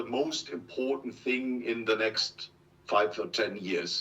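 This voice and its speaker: A man with a German accent speaks at a very slow pace. His pitch is medium. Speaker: industry expert. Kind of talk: interview. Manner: reading from notes; halting.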